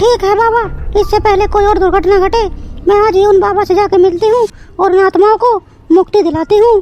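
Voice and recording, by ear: A cartoonish character voice moves along at a fairly quick pace. Faint music plays in the background. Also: woman, extremely high pitch for a woman.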